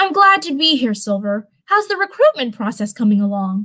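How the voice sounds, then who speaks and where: At a moderate pace, a woman performs a put-on character voice. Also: fairly high pitch for a woman. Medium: read story. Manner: warm, reassuring.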